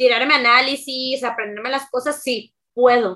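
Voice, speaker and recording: A woman's high-pitched voice, bright and sharp in tone, at a moderate pace. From Mexico, Veracruz. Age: 20s. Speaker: streamer and youtuber. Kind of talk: casual interview.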